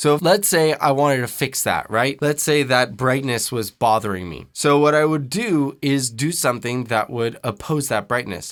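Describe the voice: On a very clean recording with a silent background, a man speaks at a moderate pace, medium in pitch, with ordinary pitch variation. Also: hardly any pauses.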